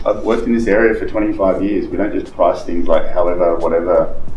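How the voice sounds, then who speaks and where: A man talking at a fairly quick pace amid audible room echo and light background noise. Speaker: real estate trainer. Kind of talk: coaching talk to colleagues. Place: meeting room. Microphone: camera far.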